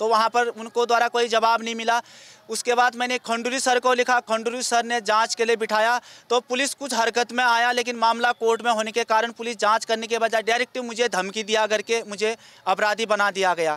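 A man speaks in a raised, projected voice at an extremely high pitch and a fairly slow pace. His intonation is monotone and flat, and the sound is dry with no echo. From Uttarakhand. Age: 30s. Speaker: acquitted former accused seeking justice. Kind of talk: interview testimony. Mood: aggrieved, pleading for justice. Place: street. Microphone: handheld.

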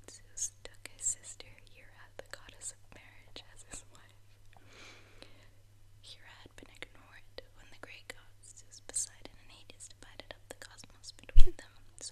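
Someone whispers at a moderate pace. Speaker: ASMR creator. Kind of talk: ASMR show and tell. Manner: whispered. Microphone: studio mic.

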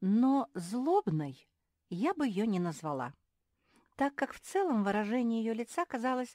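A woman's dark, mellow voice, fairly high in pitch with very wide pitch swings, in a very clean recording with a silent background and a dry, close sound with no echo. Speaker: audiobook narrator. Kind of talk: reading aloud.

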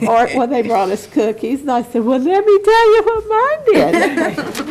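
A woman talks at a fairly slow pace with a high pitch and very wide pitch swings. Noticeable background noise is present. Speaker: school board member. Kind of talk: public meeting remarks. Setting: school board meeting. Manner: loud. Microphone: muffled by face mask.

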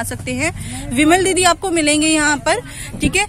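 The voice moves at a moderate pace. The sound is dry with no echo, but noticeable background noise is present. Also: woman. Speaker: shopping vlogger. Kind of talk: casual vlog chat. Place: shop.

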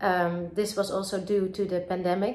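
A woman with a Dutch accent speaks at a fairly slow pace, with audible room echo. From Netherlands, Amsterdam. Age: 30s. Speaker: film director. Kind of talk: recorded video message to festival audience. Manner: halting, many filler words. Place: home room. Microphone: phone near.

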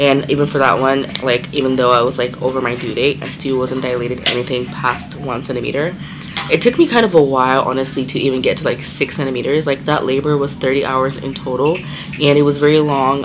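Very deep, low pitch from a woman, with noticeable background noise behind her. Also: fairly quick pace. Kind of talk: casual vlog chat. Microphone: phone near.

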